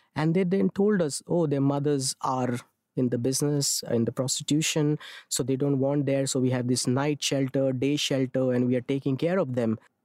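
A man with a Marathi accent, dark and mellow in tone, at a moderate pace, his loudness very even and his intonation fairly even. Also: fairly high pitch for a man, dry, close sound with no echo. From India, Mumbai. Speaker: theatre director and clown performer. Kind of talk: interview.

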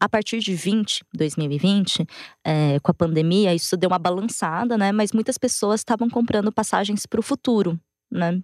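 A woman with an unremarkable speaking voice, medium pitch, ordinary pitch variation and moderate pace, on a very clean recording with a silent background and a dry, close sound with no echo. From Brazil, interior of São Paulo state (Matão). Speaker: journalist. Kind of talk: interview.

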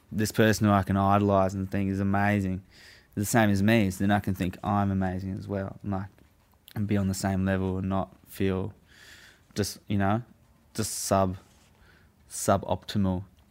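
At a moderate pace, a man speaks at a fairly low pitch in a monotone, flat way. The recording is very clean, with a silent background. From southern England (Hampshire, near Portsmouth). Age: 20s. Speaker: former prisoner telling his story. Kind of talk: casual storytelling interview. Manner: laid-back, laughs often.

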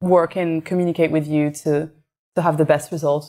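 On a very clean recording with a silent background, a woman speaks with a French accent at a moderate pace. Her pitch is fairly low and her intonation monotone and flat. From France (Paris). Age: young. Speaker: illustrator and artist. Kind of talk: interview conversation.

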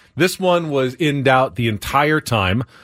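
In a very clean recording with a silent background, a man with an unremarkable speaking voice talks at a fairly high pitch with lively intonation. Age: 40s. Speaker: sports radio host. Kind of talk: sports talk radio.

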